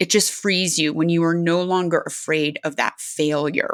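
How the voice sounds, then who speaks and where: This woman has an ordinary speaking voice with a fairly low pitch and fairly even intonation. She talks at a moderate pace. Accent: American. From California. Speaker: aerospace engineer and adventure athlete. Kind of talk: interview.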